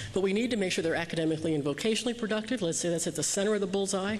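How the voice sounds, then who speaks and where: A woman's voice shows ordinary pitch variation, with noticeable background noise behind it. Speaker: keynote speaker on youth development. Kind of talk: keynote speech. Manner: fast.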